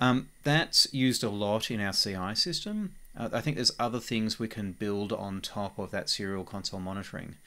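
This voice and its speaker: The recording is very clean, the background silent, as a man talks at a moderate pace with hardly any pauses. His bright, sharp voice sits fairly low, with ordinary pitch variation. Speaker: software developer. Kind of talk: tutorial. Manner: casual with frequent fillers.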